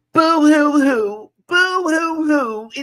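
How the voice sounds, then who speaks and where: The speaker puts on a character voice at a high pitch. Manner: mock wailing, sobbing.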